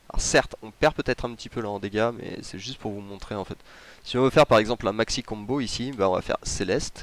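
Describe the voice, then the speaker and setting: A man of medium pitch talks at a very fast pace with fairly even intonation. The sound is dry and close, with no echo. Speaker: gaming youtuber. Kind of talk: game tutorial commentary.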